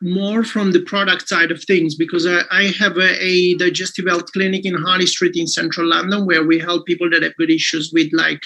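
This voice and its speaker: Speech in an Italian accent comes at a fairly quick pace with hardly any pauses. The intonation is monotone and flat. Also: man, high pitch for a man. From Italy. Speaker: clinic owner and network marketer. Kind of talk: business testimony on a live call. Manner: halting, many fillers.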